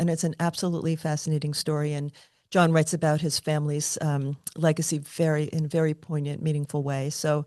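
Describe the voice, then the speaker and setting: A woman with an American accent speaks fairly quickly at a very deep, low pitch. Her tone is dark and mellow, and her intonation is monotone and flat. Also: quiet background. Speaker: podcast host. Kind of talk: interview.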